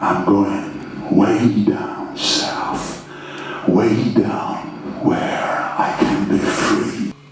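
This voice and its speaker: A man puts on a character voice and speaks very slowly. There is slight echo and clear background noise. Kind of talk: poetic stage monologue. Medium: stage play. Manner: slow, incantatory, lyrical.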